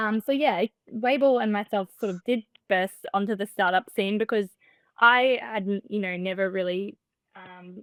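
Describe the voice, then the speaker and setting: The speech moves at a moderate pace with ordinary pitch variation and big swings in loudness, the sound dry and close with no echo. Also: woman, medium pitch for a woman. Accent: Australian. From Australia, Melbourne. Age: 20s. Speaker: startup founder. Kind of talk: podcast interview. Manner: soft-spoken.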